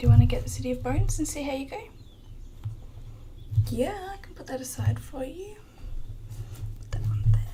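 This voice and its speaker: A soft-spoken voice talks at a fairly quick pace, broken by long, frequent pauses, over noticeable background noise. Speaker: bookshop shopkeeper (roleplay). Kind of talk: ASMR bookshop roleplay, soft speaking to camera. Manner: soft-spoken, quiet.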